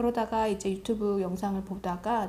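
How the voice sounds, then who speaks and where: A woman's somewhat breathy voice, dark and mellow in tone, moves at a moderate pace with a medium pitch. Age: 40s. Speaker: book vlogger. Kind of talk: casual reflective monologue.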